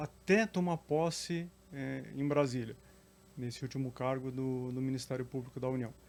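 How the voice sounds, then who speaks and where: Pausing long and often, a man speaks at a fairly slow pace and a fairly high pitch, with ordinary pitch variation. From Curitiba, southern Brazil. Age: 40s. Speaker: public servant and council candidate. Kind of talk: interview.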